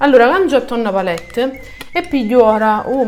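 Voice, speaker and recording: Lively intonation runs through speech at a fairly slow pace, with music in the background. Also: woman. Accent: Sicilian. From Sicily. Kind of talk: makeup tutorial talk to camera. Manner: casual, chatty.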